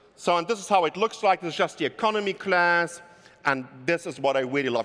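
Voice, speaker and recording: This man speaks at a high pitch with a German accent. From Germany. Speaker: keynote speaker. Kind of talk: keynote talk. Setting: stage with audience.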